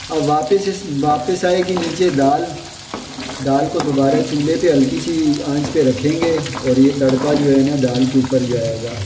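A man talks at a fairly slow pace with a fairly high pitch. Background noise is clearly heard. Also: ordinary pitch variation.

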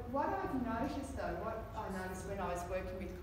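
Audible room echo and noticeable background noise surround the voice. A woman speaks at a moderate pace. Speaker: fitness trainer giving a talk. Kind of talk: presentation talk. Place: meeting room. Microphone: camera far.

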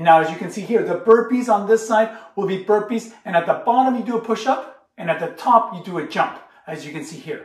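A man at a moderate pace with ordinary pitch variation, plus audible room echo. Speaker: school gym teacher. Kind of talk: tutorial. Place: kitchen. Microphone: camera far.

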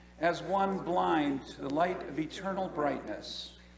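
A high-pitched man talks fairly slowly while noticeable background noise plays. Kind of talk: liturgical prayer reading. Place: church. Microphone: podium.

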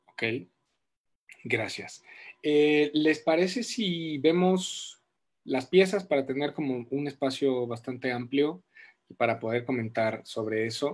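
A man's fairly high voice at a very slow pace, lively intonation and long, frequent pauses throughout. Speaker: host of live creative talk series. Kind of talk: moderated panel interview, livestream. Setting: live online stream. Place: home room. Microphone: video call.

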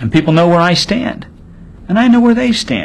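A man speaks with very wide pitch swings. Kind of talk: interview answer. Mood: earnest, firm conviction. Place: studio.

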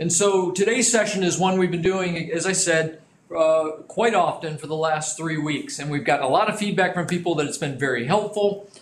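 Over light background noise and audible room echo, a man with a high pitch talks at a moderate pace with ordinary pitch variation and hardly any pauses. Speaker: business trainer. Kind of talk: lecture. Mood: friendly, lightly humorous. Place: studio.

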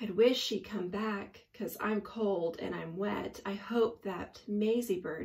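This is a natural reading voice. It is heard on its own here.

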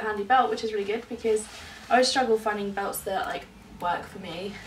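A woman with a southern English accent, fairly high in pitch, over light background noise. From London. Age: 20s. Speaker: lifestyle vlogger. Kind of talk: casual vlog. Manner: animated. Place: home room. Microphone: camera far.

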